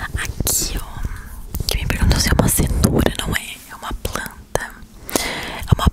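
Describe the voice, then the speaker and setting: A woman whispers at a fairly slow pace. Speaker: ASMR creator. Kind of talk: ASMR whispered talk to camera. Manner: whispered. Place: home room. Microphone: lapel.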